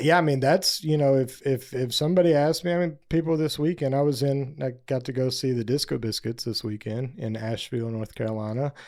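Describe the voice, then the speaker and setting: In an American accent, a man speaks at a fairly high pitch with ordinary pitch variation and hardly any pauses. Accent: slight country drawl. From US South, northeast Texas. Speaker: singer-songwriter and band frontman. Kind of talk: casual interview chat. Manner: casual, filler-heavy.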